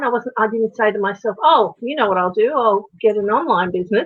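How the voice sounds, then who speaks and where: Speaking with an Australian accent, a woman uses a fairly high pitch and ordinary pitch variation. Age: 50s. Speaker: natural horsemanship coach and online entrepreneur. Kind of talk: interview answer.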